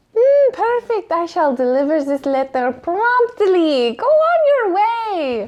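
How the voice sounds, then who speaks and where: This put-on character voice is squeaky and pitched extremely high, swinging very widely in pitch. It moves at a fairly slow pace with hardly any pauses. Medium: actual play. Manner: coy, blunt.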